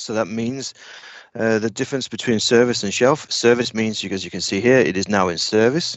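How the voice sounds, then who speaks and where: A man's unremarkable speaking voice, moderate in pace, medium in pitch, and with ordinary pitch variation. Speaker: technical trainer. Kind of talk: lecture.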